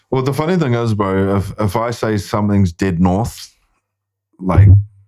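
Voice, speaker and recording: This man has a fairly low pitch and a dark, mellow tone. His pitch varies in an ordinary way. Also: moderate pace. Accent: New Zealand. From New Zealand, Māori. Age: 30s. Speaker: filmmaker and actor. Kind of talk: casual chat.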